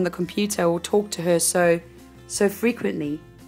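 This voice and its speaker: Music in the background behind a woman at a moderate pace, with ordinary pitch variation. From South Africa. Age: 20s. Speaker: actress. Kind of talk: casual talk to camera.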